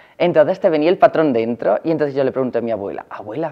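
A man talks at a very fast pace, his pitch fairly high. The background is quiet. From Valencia region, Spain. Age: 20s. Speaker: fashion designer. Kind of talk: personal interview testimony. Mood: cheerful, smiling. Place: workshop.

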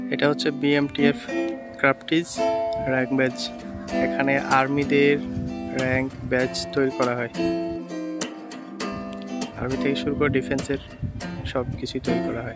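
Loud music plays in the background. The voice sounds dry with no echo. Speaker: vlogger guide. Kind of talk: casual vlog tour narration. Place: street. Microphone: phone near.

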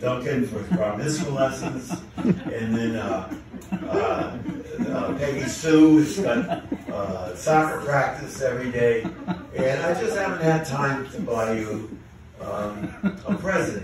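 There is strong room echo and noticeable background noise as a man speaks at a very slow pace. His fairly high pitch moves in very wide swings. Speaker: amateur comedian. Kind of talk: stand-up joke telling to a live audience. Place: stage.

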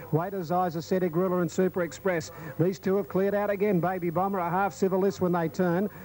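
Speaking at a very fast pace with an Australian accent, a man holds a high pitch, monotone, flat intonation and very even loudness. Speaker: race caller. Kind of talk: live commentary. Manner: fast talker.

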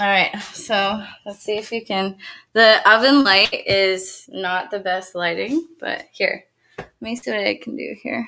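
Over a quiet background, a woman with a Canadian accent speaks in a bright, sharp tone, her loudness swinging widely while her pitch varies in an ordinary way. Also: medium pitch for a woman, fairly slow pace. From Kitchener, Ontario; Ontario. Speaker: chef; guest. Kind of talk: casual chat and cooking demonstration. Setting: video call from her kitchen. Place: kitchen.

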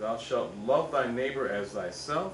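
There is light background noise behind a man's voice. The room echo is audible. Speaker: church member. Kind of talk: reading aloud. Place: church. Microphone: camera far.

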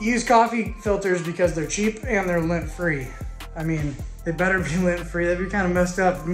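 A man with a high pitch and fairly even intonation at a fairly quick pace, with audible room echo and faint music in the background. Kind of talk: casual vlog tutorial. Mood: relaxed, joking. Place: garage. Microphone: phone near.

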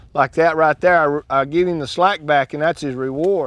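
A man with a Texan accent talks at a moderate pace in a dry sound with no echo. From West Texas. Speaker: ranch horse trainer; cowboy. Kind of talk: instructional talk while working a horse. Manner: calm, casual.

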